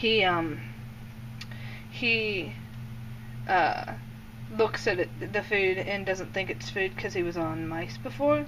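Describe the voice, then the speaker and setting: A woman's fairly low pitch with an American accent and vocal fry, very wide pitch swings at a fairly slow pace, plus audible room echo. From Indiana. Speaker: snake keeper. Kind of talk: casual talk over a feeding video. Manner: hesitant, many fillers.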